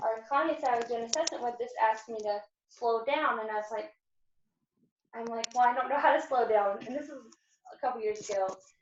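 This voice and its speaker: Fairly high-pitched, a woman talks at a fairly quick pace with ordinary pitch variation, big swings in loudness, and long, frequent pauses. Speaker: home care worker. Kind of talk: workshop discussion. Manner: fast.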